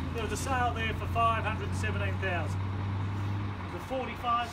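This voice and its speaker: Loud background noise surrounds a man who speaks at a fairly slow pace. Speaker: property auctioneer. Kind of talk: auction sales patter describing the property and area. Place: street. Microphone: camera far.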